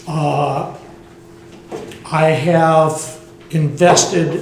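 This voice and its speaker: With a Southern US accent, a man speaks at a fairly high pitch with fairly even intonation, amid noticeable background noise and audible room echo. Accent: Southern American. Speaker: resident speaking at public comment. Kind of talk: public comment. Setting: council meeting, no microphone. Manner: loud.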